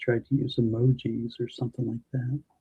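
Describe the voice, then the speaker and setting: A man's somewhat breathy voice in a monotone, flat intonation. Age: 50s. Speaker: stream moderator. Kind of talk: casual chat.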